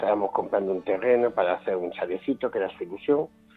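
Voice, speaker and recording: With music in the background, this man races along at a very fast rate while his pitch varies in an ordinary way. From Jaén, Andalusia, Spain. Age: 50s. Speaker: blind association president. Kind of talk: testimony.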